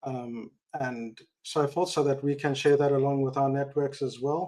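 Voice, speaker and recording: With a South African accent, a man talks at a moderate pace and fairly high pitch, his tone dark and mellow and his intonation fairly even. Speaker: tech industry expat, audience member. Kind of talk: live audio Q&A.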